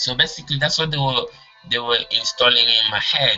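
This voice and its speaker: With music in the background, a man speaks with a non-native accent. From Congo, moved to England at about ten. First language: not English. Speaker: self-help course teacher. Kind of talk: online course talk. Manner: hesitant, many fillers.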